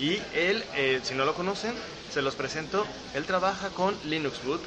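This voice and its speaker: Noticeable background noise and an audible room echo accompany this man as he talks. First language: Spanish. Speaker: tech interviewer. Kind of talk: interview. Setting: software conference. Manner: halting.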